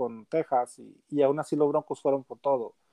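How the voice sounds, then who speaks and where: A man speaks in a normal speaking voice at a moderate pace with fairly even intonation. The sound is dry and close, with no echo. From Mexico, Gómez Palacio, Durango. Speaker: football fan and gaming page administrator. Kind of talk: casual sports chat.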